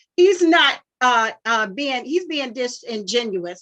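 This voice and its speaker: A woman's raised, projected voice, high-pitched and bright and sharp in tone, with lively intonation. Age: 60s. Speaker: caller, homeowner. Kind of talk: public comment.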